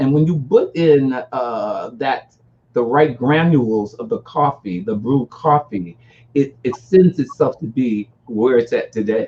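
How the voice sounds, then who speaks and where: With an American accent, this fairly slow voice carries a dark, mellow tone and lively intonation. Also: man, medium pitch for a man. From US Northeast (Newark, New Jersey). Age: 60s. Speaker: music industry publicist and artist developer. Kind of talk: interview.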